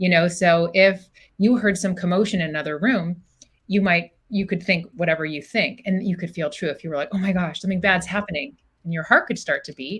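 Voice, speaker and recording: This woman speaks at a medium pitch with ordinary pitch variation. Her pace is fairly quick. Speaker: psychologist. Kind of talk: interview conversation. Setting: podcast recording. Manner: fast.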